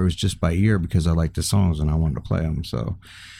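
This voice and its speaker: A man with an American accent speaks in a dark, mellow tone on a very clean recording with a silent background. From East Africa (Kenya, Tanzania), then Florida. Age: 50s. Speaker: musician, guitarist and music teacher. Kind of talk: testimony. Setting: studio.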